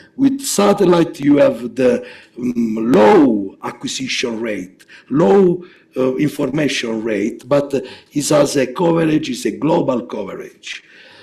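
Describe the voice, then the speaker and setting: Noticeable background noise and audible room echo accompany a man speaking fairly slowly, with a fairly high pitch and lively intonation. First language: Italian. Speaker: geophysics researcher. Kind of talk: lecture. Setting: seminar. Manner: halting, many fillers.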